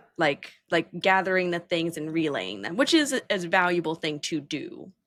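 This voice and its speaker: Vocal fry from a woman with a fairly low pitch, lively intonation and a moderate pace. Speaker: podcast host, tech builder. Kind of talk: casual interview chat.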